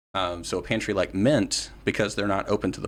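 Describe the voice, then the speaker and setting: A man in an American accent with vocal fry and ordinary pitch variation, on a very clean recording with a silent background. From West Virginia. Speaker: political candidate and activist. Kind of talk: casual interview.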